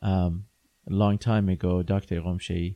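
With a dry, close sound and no echo, a man speaks at a fairly slow pace in a dark, mellow tone. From Iran. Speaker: orthodontist. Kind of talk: interview.

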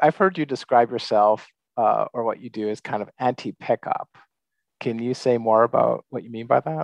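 In a plain, everyday voice, a man of medium pitch speaks with ordinary pitch variation and big swings in loudness, the sound dry and close with no echo. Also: moderate pace, quiet background. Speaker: podcast host and book coach. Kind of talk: scripted podcast intro.

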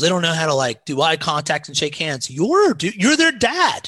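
A man's high, bright, sharp voice with a Midwestern American accent, moderate pace and very wide pitch swings, against a quiet background. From US Midwest, southern Indiana near Cincinnati. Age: 40s. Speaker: pastor. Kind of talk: casual chat.

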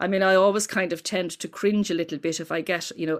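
Talking very fast, a woman uses an Irish accent with ordinary pitch variation. The recording is very clean, with a silent background. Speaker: folklore professor. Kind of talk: interview. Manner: hesitant, many repeated words.

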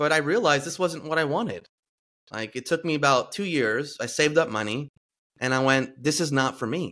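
A man speaks with a normal speaking voice. His pitch is fairly high and his pace moderate. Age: 40s. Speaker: podcast host and life coach. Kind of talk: casual interview chat.

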